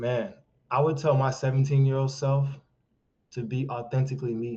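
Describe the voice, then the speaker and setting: Here a man talks at a medium pitch with a monotone, flat intonation. His voice is somewhat breathy, with a dark, mellow tone. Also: moderate pace. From US (Haitian immigrant). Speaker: men's life coach. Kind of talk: podcast interview.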